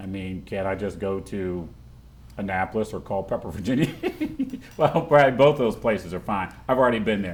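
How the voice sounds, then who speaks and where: Talking at a fairly quick pace with lively intonation, a man with a Baltimore accent has a fairly low pitch and big swings in loudness. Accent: Baltimore American English. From Baltimore, Maryland, US. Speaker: talk show host. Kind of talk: interview. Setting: studio. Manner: animated.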